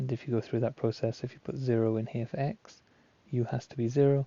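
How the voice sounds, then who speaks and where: The speaker talks at a fairly quick pace, somewhat breathy, with fairly even intonation. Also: man. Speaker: maths tutor. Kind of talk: tutorial.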